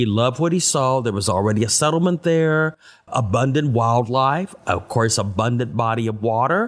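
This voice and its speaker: A normal speaking voice from a man, medium in pitch, with lively intonation, very even loudness and a moderate pace. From Austin, Texas. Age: 60s. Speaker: city tour guide. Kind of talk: interview.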